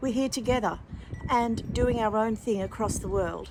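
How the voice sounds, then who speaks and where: A woman speaks at a moderate pace with an Australian accent. Her fairly high voice has a warm, gentle tone. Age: 60s. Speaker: lifestyle vlogger. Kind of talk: casual vlog talk to camera. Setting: outdoors in garden. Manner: slight slurring and pauses after a fall; warm, gentle, chatty.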